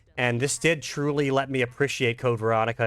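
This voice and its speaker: A man with an American accent speaks fairly quickly on a very clean recording where the background is silent. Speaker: gaming YouTuber. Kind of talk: gameplay commentary. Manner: casual, animated.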